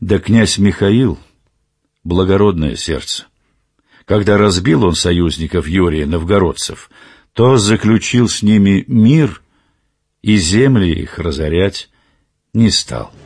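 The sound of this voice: A man's put-on character voice, low-pitched and slightly mellow, slow with long, frequent pauses and lively intonation, on a very clean recording with a silent background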